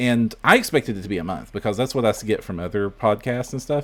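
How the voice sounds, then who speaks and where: A man speaks with an American accent. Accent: Southern US, usually suppressed, stronger now. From US South. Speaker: podcast host. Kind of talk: casual chat. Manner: halting.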